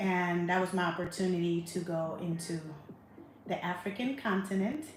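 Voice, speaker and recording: A woman with a fairly low voice speaks at a very even loudness, with audible room echo. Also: ordinary pitch variation, moderate pace. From Panama. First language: Spanish. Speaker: travel vlogger. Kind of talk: casual travel vlog monologue.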